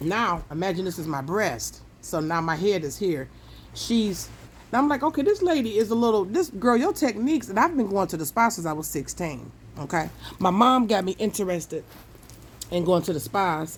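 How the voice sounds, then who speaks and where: A woman's animated, medium-pitched voice with lively intonation, vocal fry and a fairly quick pace. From Detroit, US. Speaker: storytime vlogger. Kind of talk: casual storytelling.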